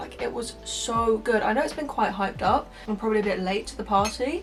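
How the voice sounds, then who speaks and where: With music in the background, a woman in a Southern English accent speaks in a fairly high voice with fairly even intonation. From Hampshire, England. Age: 20s. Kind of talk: casual talk to camera.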